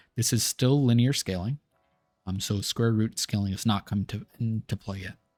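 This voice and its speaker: Against music in the background, a man talks in a medium pitch with ordinary pitch variation, the sound dry and close with no echo. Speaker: gaming video creator. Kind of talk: tutorial.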